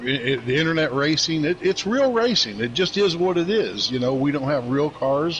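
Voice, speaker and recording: Noticeable background noise is present throughout. The speaker's intonation is lively. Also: man, fairly high pitch for a man, moderate pace, very even loudness. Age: 60s. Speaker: sim racing league driver. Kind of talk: casual chat. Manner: halting, many fillers.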